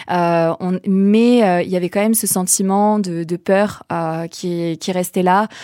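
In a very clean recording with a silent background and a dry, close sound with no echo, a dark, mellow voice speaks at a very slow pace with monotone, flat intonation. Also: woman, medium pitch for a woman. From southern France, Vaucluse. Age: young. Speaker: social entrepreneur. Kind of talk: interview.

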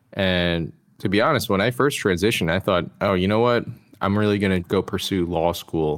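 Very clean recording with a silent background, featuring a man with an American accent. His pitch is very deep and low, with ordinary variation. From US, Maryland (DC metro area). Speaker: Marine Corps veteran, customer success manager. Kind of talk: interview. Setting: podcast.

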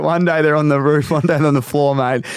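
Very fast speech from a man with a fairly high pitch and an Australian accent. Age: 20s. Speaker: podcast host. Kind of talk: casual interview chat.

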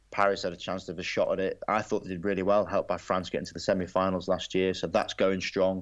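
Against a quiet background, a man with an English accent speaks at a very fast pace. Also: hardly any pauses. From England. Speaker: former rugby sevens player and broadcaster. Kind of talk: casual interview.

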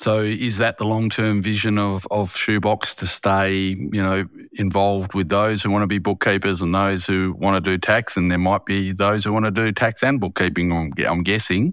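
With an Australian accent, a man speaks at a fairly low pitch. His pace is moderate and his intonation fairly even. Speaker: podcast host. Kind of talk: interview. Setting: remote recording.

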